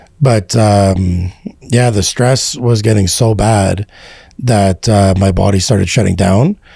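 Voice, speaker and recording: Very slowly, a man speaks at a fairly low pitch, somewhat breathy. His intonation is fairly even and his loudness very even. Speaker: real estate entrepreneur. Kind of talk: interview testimony. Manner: casual, many fillers.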